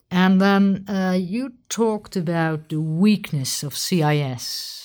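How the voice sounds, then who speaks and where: An ordinary speaking voice from a woman, fairly slow and lively in intonation, in a very clean recording with a silent background. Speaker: military officer interviewer. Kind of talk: interview.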